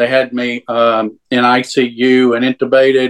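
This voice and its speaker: A man speaks in a Southern US accent at medium pitch with monotone, flat intonation. The sound is dry and close with no echo. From Louisiana. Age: 60s. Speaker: churchgoer sharing faith story. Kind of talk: testimony. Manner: halting.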